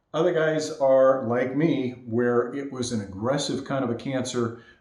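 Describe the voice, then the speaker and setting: Audible room echo carries a man's medium-pitched voice at a moderate pace. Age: 60s. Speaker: vlogger sharing health experience. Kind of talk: casual first-person talk to camera. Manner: halting.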